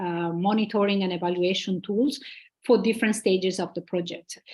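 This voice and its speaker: A woman with a normal speaking voice and fairly even intonation, over a quiet background. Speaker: conference speaker on gender inclusion. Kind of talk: conference presentation.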